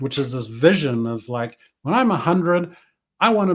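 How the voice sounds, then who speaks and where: A man with a New Zealand accent speaks at a fairly quick pace. His pitch is fairly high, on a very clean recording with a silent background. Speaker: business coach. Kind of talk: interview conversation. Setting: podcast.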